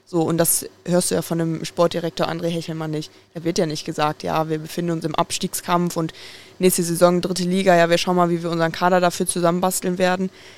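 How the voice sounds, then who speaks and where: Speaking at a fairly quick pace, the woman has a fairly low pitch. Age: 20s. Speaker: football fan podcast guest. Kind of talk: casual chat.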